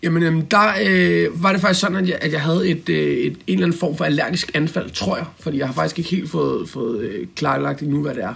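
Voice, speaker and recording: With vocal fry and hardly any pauses, a man speaks at a moderate pace in a fairly high pitch that swings very widely. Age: 30s. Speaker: self-employed business owner. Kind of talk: interview. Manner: halting, many fillers.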